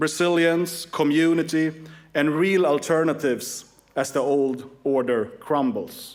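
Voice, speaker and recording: Fairly high male voice with a Swedish accent, fairly slow and fairly even in intonation, with audible room echo. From Sweden. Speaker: political activist and organization chairman. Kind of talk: conference speech.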